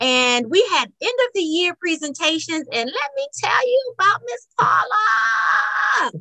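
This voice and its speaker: Shouting at an extremely high pitch in a bright, sharp tone, a woman speaks at a very slow pace with hardly any pauses and very wide pitch swings, the sound dry and close with no echo. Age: 50s. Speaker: podcast host and home decorator. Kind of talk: interview podcast. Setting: video call.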